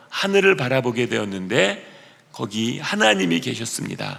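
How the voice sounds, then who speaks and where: Over noticeable background noise, a man of medium pitch talks at a fairly slow pace with very wide pitch swings. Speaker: pastor. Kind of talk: sermon.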